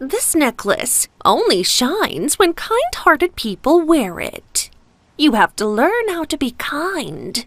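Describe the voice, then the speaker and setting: Putting on a character voice, a woman talks at a fairly slow pace in a high pitch with very wide pitch swings. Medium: read story.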